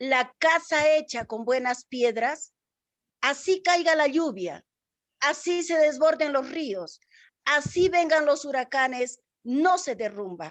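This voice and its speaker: Against a quiet background, a woman with an Andean accent speaks very slowly in a high voice with lively intonation. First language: Quechua (speaking Spanish). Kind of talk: interview. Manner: formal.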